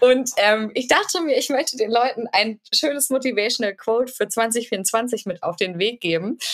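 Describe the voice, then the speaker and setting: This woman has a normal speaking voice, pitched fairly high, with ordinary pitch variation. She talks at a moderate pace with hardly any pauses. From Germany, Paderborn (Westphalia). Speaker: podcast co-host. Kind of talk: casual chat.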